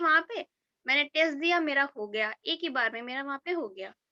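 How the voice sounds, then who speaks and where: A woman's raised, projected voice, high in pitch, bright and sharp in tone, with lively intonation and a dry, close sound with no echo. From Braj region, India (Agra/Mathura). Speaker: journalist and author. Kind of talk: personal testimony at online event. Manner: hesitant, many fillers.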